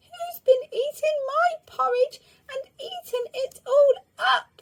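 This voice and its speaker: A put-on, squeaky character voice at an extremely high pitch and a fairly slow pace. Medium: read story. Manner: indignant.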